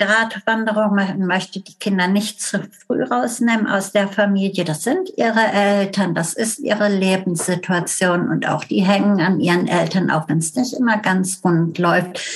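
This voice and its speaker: Over noticeable background noise, a woman with a medium pitch talks at a moderate pace with ordinary pitch variation and hardly any pauses. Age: 60s. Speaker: family therapist. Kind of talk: casual interview.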